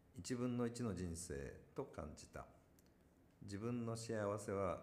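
A man talks at a fairly slow pace, his voice carrying audible room echo. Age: 50s. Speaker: company founder and executive. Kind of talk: casual chat; reading aloud.

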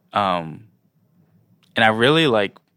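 Very clean recording, silent background. A man with a fairly low pitch speaks at a fairly slow pace. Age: 20s. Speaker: DJ and creative. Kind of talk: interview. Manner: halting, many fillers.

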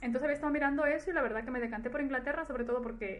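A woman talking at a very fast pace with fairly even intonation, noticeable background noise behind her. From Ecuador, then Spain from childhood. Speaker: nurse. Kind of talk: interview testimony.

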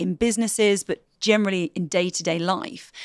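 An ordinary speaking voice, a woman's, moves at a moderate pace with ordinary pitch variation in a very clean recording with a silent background. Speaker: skills trainer and former TV presenter. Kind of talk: casual interview. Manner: polished presenter style.

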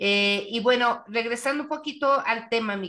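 Bright and sharp in tone, a woman speaks with lively intonation. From Mexico. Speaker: interviewer. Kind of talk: interview.

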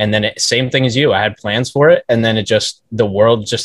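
A man talks at a fairly quick pace in a somewhat breathy voice with fairly even intonation. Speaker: interview show host. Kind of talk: interview. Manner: casual, many fillers.

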